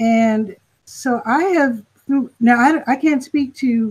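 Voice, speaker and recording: Somewhat breathy and dark, mellow in tone, the voice shows ordinary pitch variation. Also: woman. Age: 60s. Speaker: panelist. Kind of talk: panel discussion.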